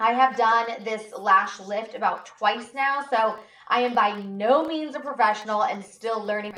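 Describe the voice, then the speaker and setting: Her pitch fairly high and varying in an ordinary way, a woman talks in a normal speaking voice. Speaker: beauty and shopping livestreamer. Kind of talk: livestream tutorial. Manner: casual, chatty.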